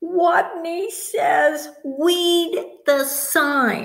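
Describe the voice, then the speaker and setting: A woman speaks in a put-on character voice. It is squeaky and pitched extremely high. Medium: read story.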